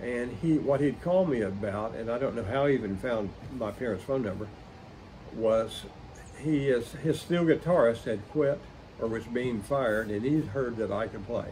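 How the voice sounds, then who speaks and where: A man's medium-pitched voice with an American accent, dark and mellow in tone, somewhat breathy, with ordinary pitch variation, a moderate pace and audible room echo. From Oklahoma, West Tulsa County. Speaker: musician and collector. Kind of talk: interview storytelling.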